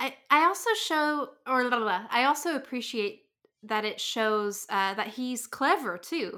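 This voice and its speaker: A woman with an American accent speaks at a fairly slow pace in a bright, sharp, high voice with lively intonation, on a very clean recording with a silent background. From rural US, small town. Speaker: comic artist and podcaster. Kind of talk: casual chat.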